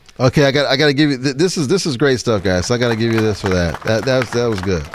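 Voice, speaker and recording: Over noticeable background noise, a man at medium pitch speaks at a very fast pace with lively intonation. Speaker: live show host. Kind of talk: casual panel chat. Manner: loud; animated.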